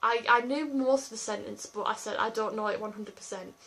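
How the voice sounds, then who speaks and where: Speaking with an English accent, a woman uses a fairly high pitch and fairly even intonation. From England. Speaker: YouTuber. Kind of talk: casual chat.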